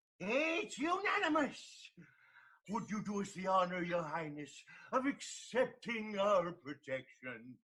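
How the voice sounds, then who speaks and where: Putting on a character voice, a man speaks high for a man at a fairly slow pace. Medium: stage play. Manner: stammering, word-mixing, fussy.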